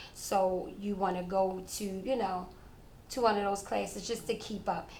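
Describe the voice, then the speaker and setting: Medium pitch from a woman at a moderate pace, with audible room echo. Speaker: fitness instructor. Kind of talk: interview. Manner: casual, conversational.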